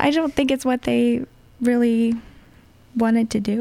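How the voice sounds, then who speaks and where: Her pitch moves with ordinary variation. The woman talks at a moderate pace. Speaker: singer-songwriter. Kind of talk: interview.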